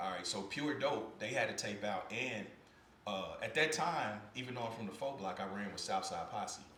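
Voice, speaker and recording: With an American accent, a man talks in a fairly low pitch and lively intonation, with audible room echo and noticeable background noise. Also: moderate pace. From Kansas City, Missouri. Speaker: podcast host and former record label executive. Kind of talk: interview. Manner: relaxed conversational.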